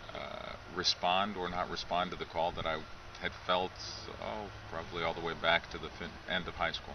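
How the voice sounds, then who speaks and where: A man with a very deep, low pitch speaks at a moderate pace with monotone, flat intonation. Long, frequent pauses break up his speech over noticeable background noise. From United States, Lithuanian-American family. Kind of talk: interview. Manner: hesitant, many fillers.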